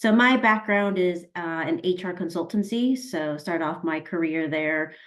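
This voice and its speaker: A woman speaks in a normal speaking voice with an American accent, her pitch fairly low. She talks at a fairly slow pace with ordinary pitch variation. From US, Colorado. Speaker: learning and development professional. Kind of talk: webinar self-introduction.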